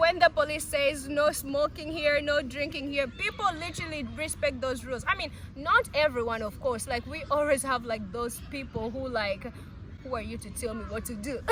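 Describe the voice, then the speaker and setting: Against noticeable background noise, a woman with a high pitch sounds animated, speaking at a moderate pace with ordinary pitch variation and big swings in loudness. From Uganda. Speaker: video blogger. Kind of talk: casual chat.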